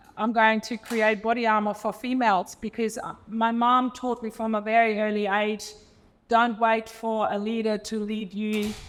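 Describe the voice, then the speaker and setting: A woman's fairly high-pitched voice, monotone and flat, at a moderate pace. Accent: German. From Germany. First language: German. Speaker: entrepreneur and former elite swimmer. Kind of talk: panel discussion. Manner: halting, many fillers.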